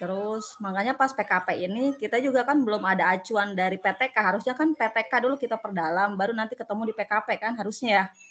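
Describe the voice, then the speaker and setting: A woman talks very fast with hardly any pauses, her fairly high pitch varying in an ordinary way amid noticeable background noise. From Tangerang, Indonesia. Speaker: university student, school operator. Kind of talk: online tutorial discussion.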